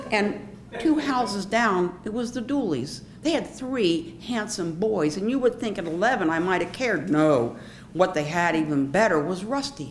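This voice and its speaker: A woman with an American accent, medium pitch and very wide pitch swings, at a moderate pace, amid audible room echo and noticeable background noise. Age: 60s. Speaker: storyteller. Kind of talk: personal storytelling performance. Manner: animated.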